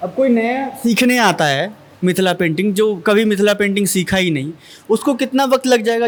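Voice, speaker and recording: This man's voice is high in pitch. Its rise and fall is ordinary. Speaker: interviewer. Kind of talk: interview questions.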